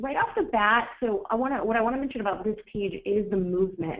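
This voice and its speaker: A woman with a normal speaking voice keeps a moderate pace, her pitch showing ordinary pitch variation. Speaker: marketing director presenting a webinar. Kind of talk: live webinar critique. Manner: casual, with many fillers.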